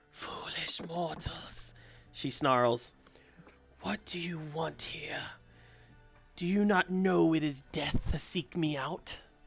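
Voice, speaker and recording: In a put-on character voice, the speaker growls at a middle pitch, going very slowly with long, frequent pauses. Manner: snarling, hostile.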